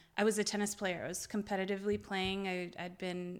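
A woman's voice at a medium pitch. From Lebanon (Beirut), Lebanese Armenian. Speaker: fitness entrepreneur and cookbook author. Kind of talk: casual interview chat.

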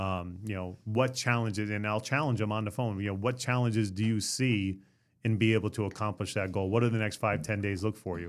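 A man with an unremarkable speaking voice talks at a fairly quick pace, fairly low in pitch. His intonation is fairly even, and the recording is very clean with a silent background. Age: 50s. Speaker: insurance agency owner. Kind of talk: podcast interview. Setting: studio.

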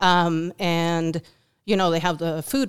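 A woman with a Uruguayan accent speaks very slowly at a fairly low pitch. Her intonation is monotone and flat, and the recording is very clean with a silent background. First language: Spanish. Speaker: volunteer. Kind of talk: interview. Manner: halting, many fillers.

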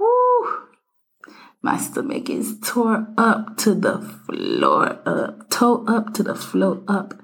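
An animated, somewhat breathy tone with lively intonation. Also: woman. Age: 20s. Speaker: podcast co-host. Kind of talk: casual chat.

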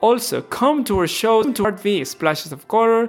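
Lively intonation carries this moderately paced speech in a Spanish accent. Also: man. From Ecuador. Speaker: podcast host. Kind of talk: interview; scripted promo.

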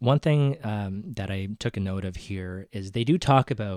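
On a very clean recording with a silent background, a man talks at a fairly low pitch with ordinary pitch variation. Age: 30s. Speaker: podcast co-host. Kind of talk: casual chat.

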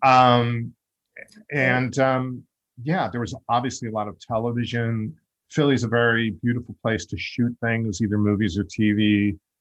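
A man speaks in an ordinary speaking voice with an American accent. His pace is moderate and his intonation fairly even. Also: medium pitch for a man. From US Northeast (Long Island, New York). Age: 50s. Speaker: podcast host and actor. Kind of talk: interview.

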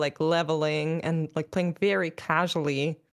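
A woman's fairly low voice with fairly even intonation comes through on a very clean recording with a silent background. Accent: German. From Germany. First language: German. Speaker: esports host and caster. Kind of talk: casual interview.

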